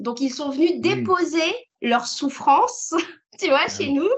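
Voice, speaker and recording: High in pitch, a woman's voice shows ordinary pitch variation. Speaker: entrepreneur. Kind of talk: interview. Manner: talkative; animated.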